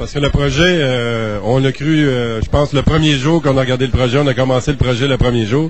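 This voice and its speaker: A man talks at a fairly quick pace with hardly any pauses. His pitch is medium, his intonation fairly even, and background noise is noticeable. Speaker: independent film producer. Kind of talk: interview.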